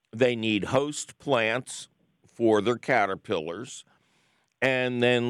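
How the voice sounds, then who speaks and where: A man's medium-pitched voice at a very slow pace, with lively intonation and a dry, close sound with no echo. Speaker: radio host. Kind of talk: scripted intro then casual call-in chat. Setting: studio. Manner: animated, playful, jokey.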